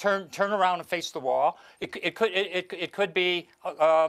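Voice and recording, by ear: A man talks at a moderate pace with high pitch. His tone is clear, smooth and fairly bright. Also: ordinary pitch variation.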